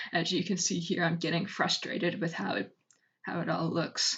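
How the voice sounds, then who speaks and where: The voice is mumbling, with vocal fry throughout. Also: woman. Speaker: digital artist. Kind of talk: speedpaint art commentary voice-over.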